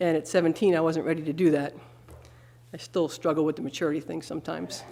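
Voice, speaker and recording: A woman with an American accent speaks very fast in a very deep, low voice. Her tone is dark and mellow, flat and monotone, with vocal fry. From Long Island, New York. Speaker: church member giving testimony. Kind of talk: testimony. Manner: fast when nervous.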